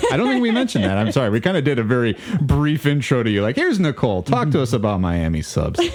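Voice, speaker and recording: Very fast and with hardly any pauses, a man talks with very wide pitch swings and very even loudness over noticeable background noise. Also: medium pitch for a man. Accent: American. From Maryland (Baltimore), then Georgia as a teen. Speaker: podcast co-host. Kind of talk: casual chat. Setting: studio.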